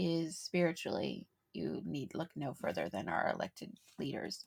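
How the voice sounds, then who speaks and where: A woman speaks at a moderate pace with a dry, close sound and no echo. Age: 40s. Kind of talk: casual chat. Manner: laughs often.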